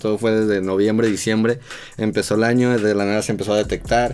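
At a very fast pace, a man speaks at a medium pitch in a monotone, flat way. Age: 20s. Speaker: photographer and video director. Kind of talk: casual chat. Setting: studio.

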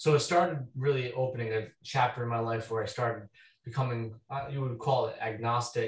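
Talking at a fairly quick pace in an American accent, a man uses a medium pitch, a somewhat breathy voice and fairly even intonation. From Rhode Island, US. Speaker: deacon and demonologist.

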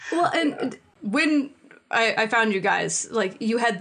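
A woman speaks over noticeable background noise. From Minnesota, US. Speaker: podcast team member sharing their faith story. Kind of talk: personal testimony in casual chat.

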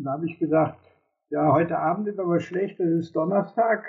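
The speaker is a man with a high pitch. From Germany, Cologne area (Rhineland). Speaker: retired civil engineer. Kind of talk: interview. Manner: hesitant, many fillers.

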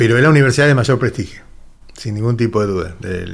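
Talking at a fairly quick pace, a plain, everyday voice shows ordinary pitch variation. The background is silent and the recording very clean. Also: man. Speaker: union leader. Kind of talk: radio interview.

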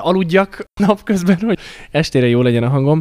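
A man speaks with ordinary pitch variation. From Slovakia, Hungarian minority (Párkány). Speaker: singer-songwriter. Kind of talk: interview.

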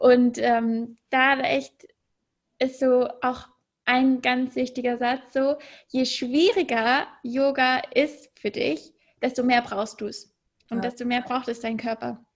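On a very clean recording with a silent background, a woman speaks very slowly at a high pitch with fairly even intonation. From Germany, Munich. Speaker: podcaster and yoga enthusiast. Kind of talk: interview.

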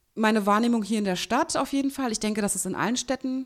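Fairly quick and fairly high-pitched, a woman speaks. Her intonation stays fairly even. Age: 30s. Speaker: podcast co-host. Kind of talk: casual chat.

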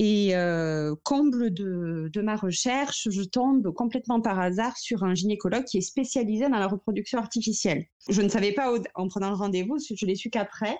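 With a dark, mellow tone, a woman of medium pitch talks at a moderate pace with ordinary pitch variation. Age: 30s. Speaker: mother sharing fertility story. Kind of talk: testimony. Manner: halting.

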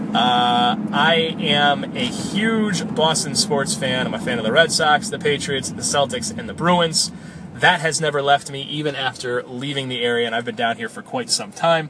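Over noticeable background noise, a man with an American accent talks at a fairly high pitch and moderate pace, with lively intonation and hardly any pauses. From western Massachusetts. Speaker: sports podcast host. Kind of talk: casual monologue. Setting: in a car. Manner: relaxed with frequent fillers.

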